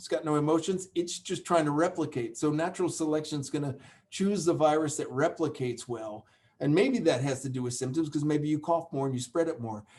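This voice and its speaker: In an ordinary speaking voice, a man with an American accent talks at a fairly quick pace, his pitch fairly high with ordinary variation. The background is quiet. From United States. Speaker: epidemiology professor. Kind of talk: webinar Q&A. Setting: online webinar.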